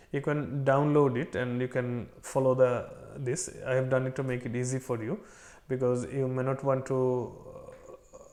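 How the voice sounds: Talking at a moderate pace, a man keeps little pitch movement in his voice. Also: medium pitch for a man, slightly mellow tone.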